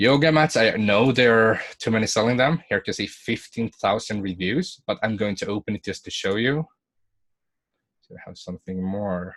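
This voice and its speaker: With a non-native accent, a man talks at a moderate pace and medium pitch with ordinary pitch variation and big swings in loudness, the sound dry and close with no echo. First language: not English. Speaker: online business coach. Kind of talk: webinar tutorial with screen share. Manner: halting, self-correcting.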